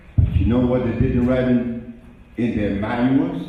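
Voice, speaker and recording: A man's voice with audible room echo. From Honduras. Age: 80s+. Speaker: health lecturer. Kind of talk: lecture. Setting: stage with audience.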